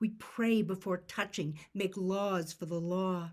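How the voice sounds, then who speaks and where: This woman has a normal speaking voice at a medium pitch. She talks at a fairly slow pace with fairly even intonation. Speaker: poet. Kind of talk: poetry reading. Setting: video call.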